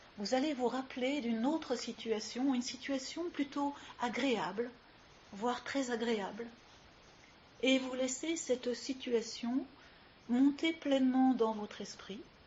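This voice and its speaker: A woman's high, calm and soothing voice at a very slow pace, with long, frequent pauses and noticeable background noise. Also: ordinary pitch variation. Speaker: yoga teacher. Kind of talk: guided yoga nidra relaxation session. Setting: live recording with ambient sounds. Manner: slow, calm, soothing.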